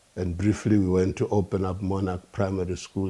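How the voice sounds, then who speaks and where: A man's very deep, low, dark and mellow voice in a Zimbabwean accent, monotone and flat, at a moderate pace. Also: very clean recording, silent background. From Botswana, Francistown. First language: Ndebele. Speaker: former politician. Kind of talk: interview.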